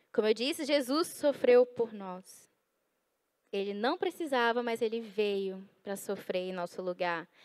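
Lively in intonation and fairly high in pitch, a woman speaks at a fairly slow pace. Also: quiet background. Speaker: preacher. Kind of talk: sermon. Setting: in-person church audience. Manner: animated; conversational, playful. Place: church. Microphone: handheld.

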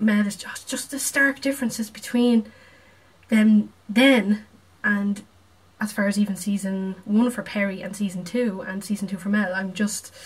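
A woman speaks at a moderate pace with a medium pitch. Noticeable background noise can be heard. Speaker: video reactor. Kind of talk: reaction video, casual chat. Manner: casual, chatty.

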